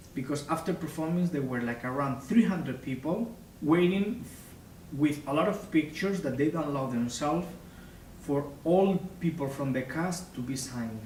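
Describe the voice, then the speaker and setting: Against audible room echo, a man with a Spanish accent speaks at a fairly high pitch. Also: ordinary pitch variation, moderate pace. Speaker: opera singer. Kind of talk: interview.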